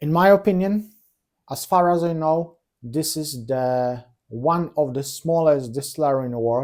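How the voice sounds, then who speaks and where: A man with a non-native accent speaks at a fairly slow pace in a fairly high pitch, with ordinary pitch variation, on a very clean recording with a silent background. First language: not English. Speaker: whisky reviewer. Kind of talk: product review. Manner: halting.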